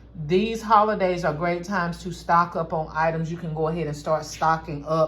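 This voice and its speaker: A woman in a North Carolina accent speaks at a moderate pace, her pitch very deep and low and her voice somewhat breathy. Her intonation is fairly even, and room echo is audible. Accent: Southern US, North Carolina. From rural North Carolina. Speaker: craft and gift-basket YouTuber. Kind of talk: casual tutorial vlog.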